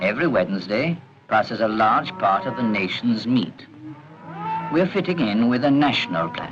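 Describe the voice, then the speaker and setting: A man at a moderate pace, his pitch swinging very widely, over noticeable background noise. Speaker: narrator. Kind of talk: documentary narration.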